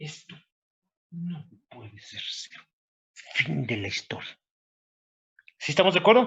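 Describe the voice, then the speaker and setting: The voice moves at a fairly slow pace with long, frequent pauses, very wide pitch swings and big swings in loudness. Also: man, high pitch for a man. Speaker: university professor. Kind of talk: lecture.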